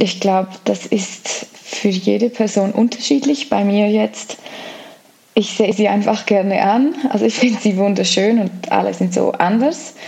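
With very even loudness, a woman talks at a fairly slow pace amid noticeable background noise. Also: medium pitch for a woman, ordinary pitch variation. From Switzerland, Graubünden (Flims). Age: 30s. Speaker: long-distance hiker and author. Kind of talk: interview.

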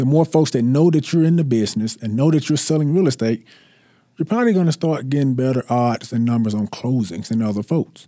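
On a very clean recording with a silent background and a dry, close sound with no echo, a man with a Mississippi accent speaks at a medium pitch, in a dark, mellow tone and at a fairly quick pace. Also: ordinary pitch variation. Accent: Southern US (Mississippi). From US South, North Mississippi. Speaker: real estate agent and former college football player. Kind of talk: interview. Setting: studio.

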